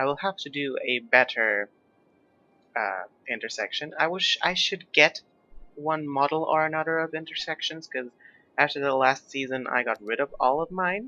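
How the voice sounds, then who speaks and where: Music plays in the background. A man speaks at a fairly high pitch. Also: ordinary pitch variation, moderate pace, dry, close sound with no echo. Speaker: gaming YouTuber. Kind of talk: gameplay commentary. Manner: casual, hesitant with fillers.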